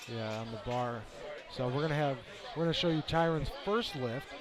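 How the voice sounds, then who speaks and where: Noticeable background noise accompanies a man with a Wisconsin accent who talks at a moderate pace in a fairly high pitch with lively intonation. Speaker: sports commentator. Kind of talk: casual chat; live commentary.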